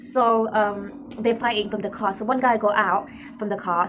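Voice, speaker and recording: A voice with a London accent comes through over noticeable background noise. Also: woman. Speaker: vlogger. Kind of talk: casual storytelling vlog. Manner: rambling with many fillers.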